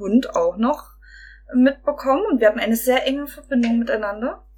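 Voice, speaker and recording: Over noticeable background noise, a woman speaks at a moderate pace. Her high voice has lively intonation. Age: 20s. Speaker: podcast guest. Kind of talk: casual chat.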